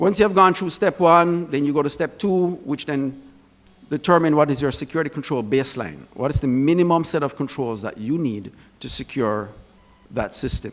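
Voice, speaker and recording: A man with a Jamaican accent talks at a moderate pace in a fairly high pitch, his intonation lively. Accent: Jamaican accent, noticeable. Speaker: security expert speaker. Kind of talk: conference presentation.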